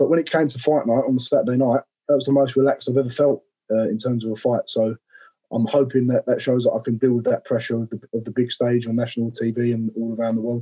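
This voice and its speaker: With music in the background, a man speaks at a very fast pace in a medium pitch and a monotone, flat intonation. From Romford, Essex, England. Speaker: professional boxer. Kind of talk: casual chat.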